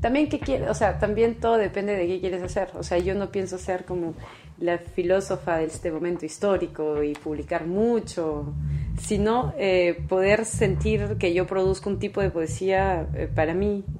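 With a Peruvian accent, a woman speaks at a moderate pace in a fairly low pitch with ordinary pitch variation. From Peru, Callao. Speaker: philosophy researcher. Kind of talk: interview.

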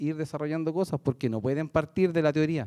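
Against a quiet background, a man with a Chilean accent talks at a fairly quick pace, with a fairly high pitch and a dark, mellow tone. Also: dry, close sound with no echo. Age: 40s. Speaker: construction site engineer. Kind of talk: panel discussion.

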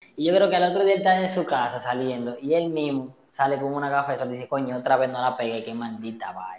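Talking at a fairly quick pace, a man with a Dominican accent uses lively intonation at a medium pitch. Noticeable background noise is present. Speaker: podcast co-host. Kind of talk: casual chat.

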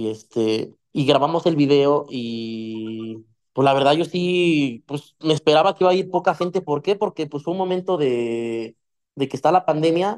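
A man speaks in an ordinary speaking voice, pitched fairly high for a man. His pace is moderate and his intonation is lively. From Mexico, Ecatepec (State of Mexico). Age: 20s. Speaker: musician. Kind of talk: casual chat.

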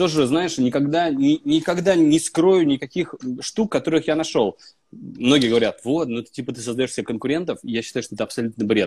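Lively intonation and big swings in loudness come at a fairly quick pace. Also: man, fairly high pitch for a man. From Russia, Vologda. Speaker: actor. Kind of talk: casual chat. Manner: animated.

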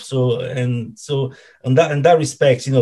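A man's somewhat breathy voice with an Italian accent. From Italy, Rome (Ostia area). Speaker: football fan club founder. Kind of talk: casual interview. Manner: halting, many fillers and repetitions.

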